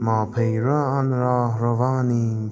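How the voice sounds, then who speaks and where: Over music in the background, a man with a medium pitch talks at a very slow pace in a monotone, flat way. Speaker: poetry reciter. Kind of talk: poetry reading with background music.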